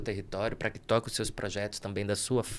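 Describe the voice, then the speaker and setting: The speaker has a northeastern Brazilian accent. The intonation stays monotone and flat. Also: man. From Brazil, Rio Grande do Norte (Northeast). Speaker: theater actor and cultural producer. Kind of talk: podcast interview.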